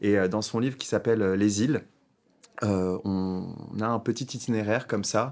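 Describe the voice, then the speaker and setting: A man is speaking at medium pitch. His intonation stays fairly even. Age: 30s. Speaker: novelist. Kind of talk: interview. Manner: hesitant, many filler sounds.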